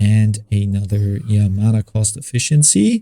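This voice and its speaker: This man's voice is somewhat breathy. Its tone is dark and mellow. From Germany. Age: 40s. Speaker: gaming YouTuber. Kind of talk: gameplay commentary.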